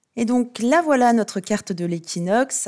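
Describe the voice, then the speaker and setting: A woman speaks with lively intonation and a dark, mellow tone. The recording is very clean, with a silent background. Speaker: astrologer. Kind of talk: video presentation. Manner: hesitant with fillers.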